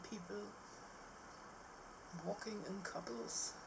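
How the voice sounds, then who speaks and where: Soft-spoken and at medium pitch, a woman talks at a fairly slow pace amid audible room echo and noticeable background noise. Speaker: vlogger. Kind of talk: casual vlog talk. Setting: outdoors on balcony.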